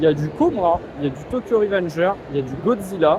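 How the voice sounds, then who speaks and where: Someone talks at a fairly quick pace with lively intonation. There is noticeable background noise. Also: man. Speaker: YouTuber. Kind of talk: vlog. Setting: convention hall. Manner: casual, hesitant with fillers.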